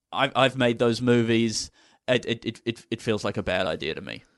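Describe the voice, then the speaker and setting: Speaking at a moderate pace against a quiet background, a man with an Australian accent uses a medium pitch. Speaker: comedian. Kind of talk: casual chat.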